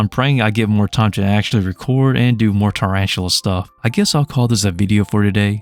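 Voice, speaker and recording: Over music in the background, a man talks at a fairly quick pace in a fairly low pitch, with fairly even intonation, a relaxed tone, hardly any pauses, very even loudness and a dry, close sound with no echo. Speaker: tarantula breeder, YouTuber. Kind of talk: casual vlog talk to camera. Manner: relaxed, laid-back.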